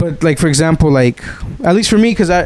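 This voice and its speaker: Over noticeable background noise, a man with a fairly high pitch talks at a very fast pace in an animated tone. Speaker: podcast host. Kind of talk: casual chat. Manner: halting.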